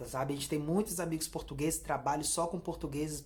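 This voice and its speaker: At a very fast pace, a woman speaks in a somewhat breathy voice. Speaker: YouTuber, Brazilian immigrant vlogger. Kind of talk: casual vlog monologue. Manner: hesitant, many repeated fillers.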